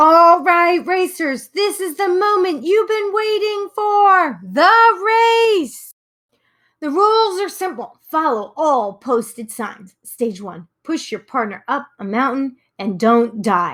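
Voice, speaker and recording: An extremely high, cartoonish character voice jumps through very wide pitch swings. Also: fairly slow pace. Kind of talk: cartoon announcer. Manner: hyped, boastful.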